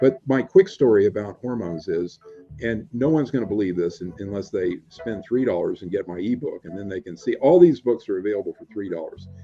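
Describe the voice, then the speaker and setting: Over music in the background, a man at medium pitch speaks at a fairly quick pace with lively intonation and big swings in loudness. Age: 60s. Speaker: retired physician and author. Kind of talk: interview. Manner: halting.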